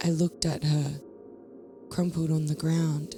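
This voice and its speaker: Music plays behind a woman with a very deep, low pitch. Her intonation is monotone and flat. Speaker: horror story narrator. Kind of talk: horror story reading.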